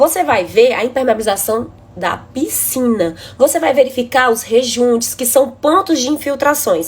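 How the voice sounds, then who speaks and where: Her voice sits high for a woman, and the intonation is lively. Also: moderate pace. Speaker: building inspection engineer. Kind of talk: live stream presentation. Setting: live stream.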